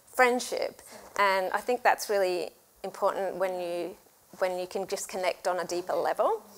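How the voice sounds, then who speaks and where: Speech moves at a moderate speed. The intonation is fairly even throughout. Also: woman, medium pitch for a woman. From Australia. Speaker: church women's ministry host. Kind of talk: casual chat.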